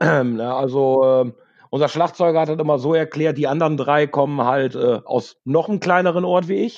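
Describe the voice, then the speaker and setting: A man speaks in a normal speaking voice, pitched fairly high. He keeps a moderate pace with ordinary pitch variation. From Münsterland, north-west Germany. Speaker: rock musician, backing vocalist. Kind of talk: casual chat.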